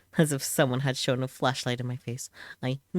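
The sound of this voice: Unforced is the best word for this reading voice.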